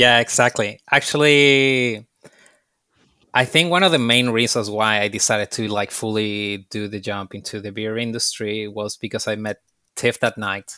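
In a Spanish accent, a man talks at a moderate pace with fairly low pitch, ordinary pitch variation and a bright, sharp tone. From Chile. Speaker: bartender and beer specialist. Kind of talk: casual interview. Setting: video call.

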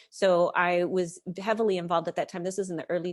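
Delivered at a very fast pace with an American accent, the speech has a monotone, flat intonation against a quiet background. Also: woman. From United States. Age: 40s. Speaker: novelist and mental health advocate. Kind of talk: interview conversation.

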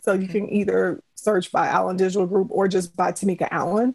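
Here a woman uses a plain, everyday voice at a medium pitch. She keeps a moderate pace. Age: 40s. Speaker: parent with ADHD. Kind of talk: interview.

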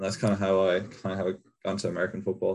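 Speaking at a very fast pace, a man uses a very deep, low pitch. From Ireland, County Kerry. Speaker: college football punter. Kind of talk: interview.

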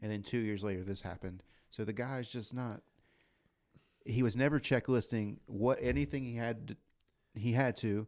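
In a plain, everyday voice, a man speaks at a moderate pace in a medium pitch with fairly even intonation. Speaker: podcast host. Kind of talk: casual chat. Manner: jokey, laid-back.

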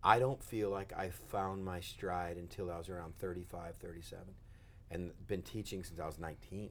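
In an American accent, a man with a very deep, low pitch speaks at a moderate pace amid audible room echo. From West Texas. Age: 40s. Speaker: pastor. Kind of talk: casual interview. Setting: studio with cameras. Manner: animated.

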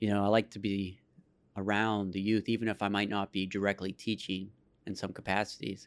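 Speaking with an American accent, this person moves along fairly quickly. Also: man, fairly low pitch for a man. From Pittsburgh area, Pennsylvania. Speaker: youth arts program director. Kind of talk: casual interview. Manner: energetic.

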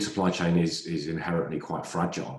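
A man's very deep, low voice in a southern English accent at a fairly slow pace. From southern England. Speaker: retail analyst. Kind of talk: casual chat.

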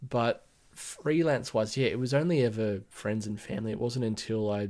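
In an Australian accent, a man speaks at a medium pitch and a moderate pace. The recording is very clean, with a silent background. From Australia, Blue Mountains west of Sydney. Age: 30s. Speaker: brand identity designer and business owner. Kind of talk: casual interview chat.

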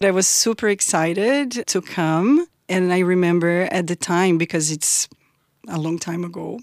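In a Portuguese accent, a woman with a fairly low pitch speaks at a fairly slow pace, with a dry, close sound and no echo. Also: ordinary pitch variation. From southern Brazil (Porto Alegre). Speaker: immigrant storyteller, university academic. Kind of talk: interview storytelling.

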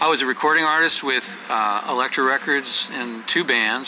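A man's moderately paced speech is accompanied by noticeable background noise. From US Pacific Northwest (Oregon, Washington). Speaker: songwriter and author. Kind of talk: interview. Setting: sit-down interview.

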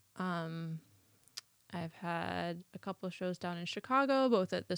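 The pace is fairly slow, in a very clean recording with a silent background. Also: woman. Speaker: artist and library worker. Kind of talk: casual interview.

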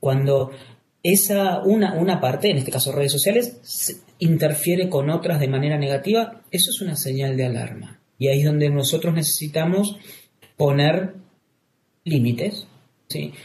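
A man's fairly high voice shows ordinary pitch variation as he talks at a moderate pace. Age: 40s. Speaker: clinical psychologist. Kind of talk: interview. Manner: halting, with repetitions.

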